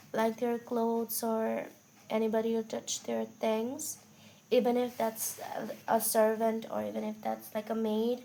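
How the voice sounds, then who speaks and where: A quiet woman's voice, fairly high in pitch with a dark, mellow tone, at a very slow pace. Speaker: tarot reader. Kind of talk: tarot reading. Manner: casual, conversational.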